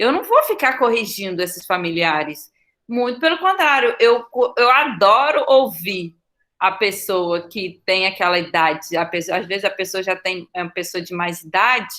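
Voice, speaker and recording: A woman's bright, sharp tone at medium pitch, with lively intonation, a moderate pace, and a very clean recording over a silent background. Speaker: teacher. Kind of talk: monologue, personal talk. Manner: halting, with self-corrections.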